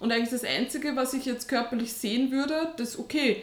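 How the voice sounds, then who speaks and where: Against noticeable background noise, a woman talks fairly quickly in a high voice. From Austria. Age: 30s. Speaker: online fitness coach and teacher. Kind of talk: casual interview.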